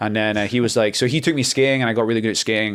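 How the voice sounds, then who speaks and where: Fairly even in intonation, the speaker talks at a very fast pace with an American accent. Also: man. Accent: Scottish with slight North American twang. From Scotland. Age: 30s. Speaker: model and mountain guide, former ice hockey player. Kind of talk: casual chat. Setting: hotel during a photo shoot.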